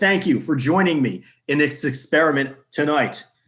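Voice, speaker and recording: The voice carries a Bronx accent. It keeps a moderate pace with ordinary pitch variation. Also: man. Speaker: trivia game host. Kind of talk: hosting an online trivia game.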